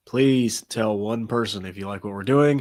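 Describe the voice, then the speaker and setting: A man speaks with a fairly low pitch. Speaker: podcast co-host. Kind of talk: casual chat.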